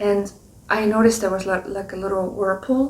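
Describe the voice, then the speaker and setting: A woman's monotone, flat voice with a non-native accent, at a moderate pace over noticeable background noise. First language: not English. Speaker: spiritual card reader. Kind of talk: reflective monologue. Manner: hesitant, many fillers.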